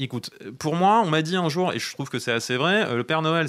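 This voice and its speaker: A man with an ordinary speaking voice and a fairly high pitch talks at a fairly quick pace with lively intonation. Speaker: children's story author and podcaster. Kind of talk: casual chat.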